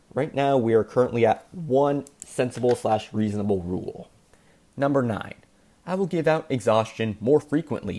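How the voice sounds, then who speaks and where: A man talks at a moderate pace in a dark, mellow tone, medium in pitch, with ordinary pitch variation. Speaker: gaming commentary youtuber. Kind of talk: casual commentary monologue.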